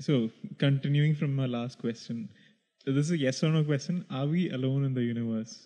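Pausing long and often, a man with a Keralan accent speaks with a fairly high pitch, a dark, mellow tone and ordinary pitch variation. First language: Malayalam. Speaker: podcast co-host. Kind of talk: casual chat.

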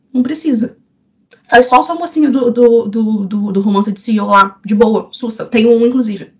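A woman's plain, everyday voice with ordinary pitch variation. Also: fairly high pitch for a woman, fairly slow pace. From Rio de Janeiro, Brazil. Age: 20s. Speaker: romance novelist. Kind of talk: casual panel discussion.

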